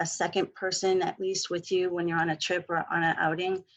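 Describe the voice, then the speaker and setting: A soft-spoken woman with a medium pitch talks over a quiet background. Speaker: mental health clinician. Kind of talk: webinar presentation.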